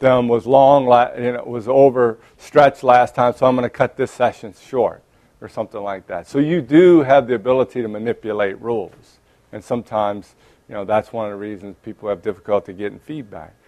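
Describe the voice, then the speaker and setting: In a dry, close sound with no echo, a man with a New Orleans accent speaks at a moderate pace and medium pitch, his loudness swinging widely. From New Orleans, Louisiana. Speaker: clinical psychologist and lecturer. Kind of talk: lecture. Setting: conference room with audience, microphone. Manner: hesitant, many fillers and restarts.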